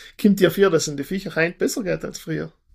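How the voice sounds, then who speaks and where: A man speaks in a plain, everyday voice at a fairly quick pace, with ordinary pitch variation. The recording is very clean, with a silent background. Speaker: podcast host, magazine editor-in-chief. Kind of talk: interview.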